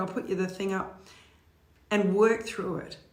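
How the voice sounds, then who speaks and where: Room echo is audible as this woman talks. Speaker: motivational speaker. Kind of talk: live stream talk. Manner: animated.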